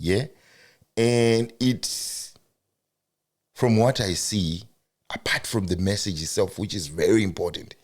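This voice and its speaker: A man with a Zimbabwean accent speaks at a fairly slow pace, his pitch fairly low. He takes long, frequent pauses, and his pitch varies in an ordinary way. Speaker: podcast host. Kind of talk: casual interview.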